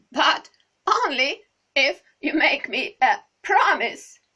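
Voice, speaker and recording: Putting on a character voice, a woman speaks very slowly at a high pitch with very wide swings in pitch. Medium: read story.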